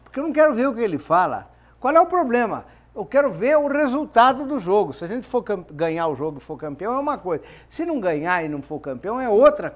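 A man talks in an extremely high voice, his pitch swinging very widely. He speaks at a fairly quick pace with big swings in loudness. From Brazil. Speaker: football club executive, club presidential candidate; TV panel commentator. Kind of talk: TV football debate. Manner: halting, repeats words. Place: studio.

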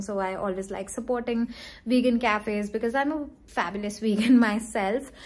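This woman's voice is somewhat breathy. She moves along at a fairly quick pace. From India, Chandigarh (Punjab region); Punjab, India. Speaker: lifestyle vlogger and influencer; lifestyle vlogger. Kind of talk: casual vlog narration. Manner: chatty, many fillers. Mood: cheerful, relaxed. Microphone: phone near.

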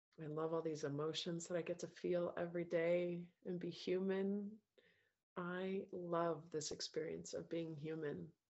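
A woman with a fairly low pitch speaks with a gentle tone and flat, monotone intonation at a fairly slow pace. The background is quiet. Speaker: self-love coach leading a group course. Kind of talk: guided meditation with breath counting and spoken self-affirmations. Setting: video call with group participants. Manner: gentle, tender and nurturing, softly coaxing smiles and gratitude. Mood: calm, emotional, inward. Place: home room. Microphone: earbuds.

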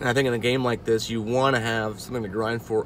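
The man's voice sounds dry with no echo, against light background noise. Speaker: gaming vlogger. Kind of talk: casual vlog chat. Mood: thoughtful, mildly concerned. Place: car. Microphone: phone near.

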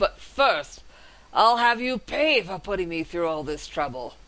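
A man growls in a put-on character voice pitched high. The background stays quiet. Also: moderate pace. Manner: growling, menacing.

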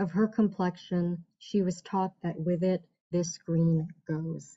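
A woman with an American accent speaks in a somewhat breathy voice at a fairly low pitch, fairly slow, with monotone, flat intonation. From New York City. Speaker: poet. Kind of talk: poetry reading. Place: home room. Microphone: webcam.

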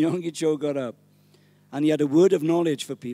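With a Welsh accent, a man speaks at a moderate pace in an animated tone. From Wales, small village. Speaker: pastor. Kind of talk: sermon. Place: church. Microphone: handheld.

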